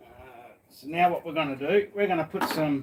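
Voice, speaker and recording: Moderate pace from a man with a fairly high pitch and ordinary pitch variation. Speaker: live streamer cooking. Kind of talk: casual live stream chat. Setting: workshop at home. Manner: quiet; halting.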